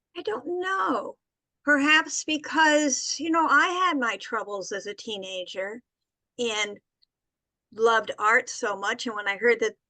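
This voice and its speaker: The tone is bright and sharp. The pace is moderate. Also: woman. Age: 70s. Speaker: art therapist and author, cancer survivor. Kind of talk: interview.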